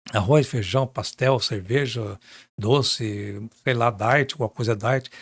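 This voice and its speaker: A man speaks in a somewhat breathy voice with ordinary pitch variation. The recording is very clean, with a silent background. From Minas Gerais, Brazil. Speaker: journalist. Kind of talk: interview. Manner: animated.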